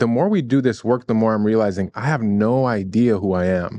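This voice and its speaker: A plain, everyday voice from a man with an American accent, medium pitch and ordinary pitch variation, at a moderate pace, dry and close with no echo, over a quiet background. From US Midwest, Chicago. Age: 40s. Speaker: mindset coach. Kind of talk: podcast interview conversation.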